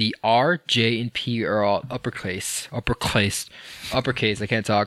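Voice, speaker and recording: A man speaks in a plain, everyday voice at medium pitch. The recording is very clean, with a silent background. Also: fairly even intonation, fairly slow pace, dry, close sound with no echo. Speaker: podcast host. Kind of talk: casual banter.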